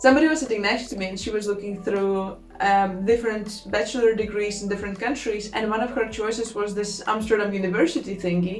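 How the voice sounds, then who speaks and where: A woman with a Latvian accent talks at a very fast pace with hardly any pauses and fairly even intonation. Audible room echo and noticeable background noise surround her. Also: medium pitch for a woman. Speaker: student vlogger. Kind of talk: casual vlog talk. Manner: informal, with filler words.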